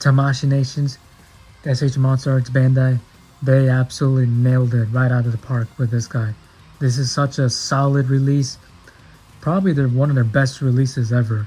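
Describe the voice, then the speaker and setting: Music plays in the background as a man speaks at a medium pitch. His pace is moderate. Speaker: toy collector youtuber. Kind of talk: unboxing review. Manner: animated.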